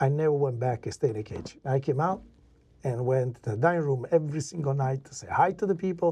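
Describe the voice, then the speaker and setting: A man with an Italian accent talks at a fairly quick pace in a fairly high, somewhat breathy voice. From Italy. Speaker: chef and restaurateur. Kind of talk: casual interview storytelling. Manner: animated.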